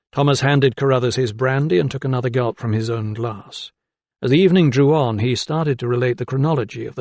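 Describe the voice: Ordinary pitch movement in plain read-aloud speech, over a quiet background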